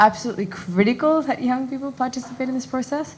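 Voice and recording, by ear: A woman talks fast in a slightly mellow tone with ordinary pitch variation. Audible room echo surrounds her voice.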